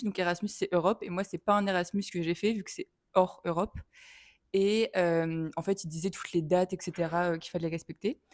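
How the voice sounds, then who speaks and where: Her intonation stays fairly even as the woman talks at a moderate pace in a medium pitch. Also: dry, close sound with no echo. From France. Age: 20s. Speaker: film student. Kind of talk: interview. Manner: hesitant.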